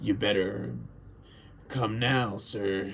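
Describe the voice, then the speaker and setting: In a put-on character voice, a man sounds gruff and raspy at a fairly low pitch, his intonation lively against clear background noise. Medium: read story. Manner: gruff, irritable.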